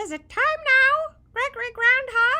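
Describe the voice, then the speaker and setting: A put-on character voice, squeaky and at an extremely high pitch. It moves at a fairly slow pace. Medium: read story.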